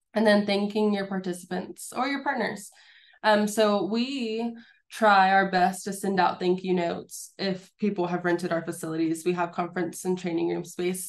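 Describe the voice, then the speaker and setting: A woman's plain, everyday voice at medium pitch, with fairly even intonation, a moderate pace and a quiet background. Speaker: small business advisor presenting. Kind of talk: webinar presentation.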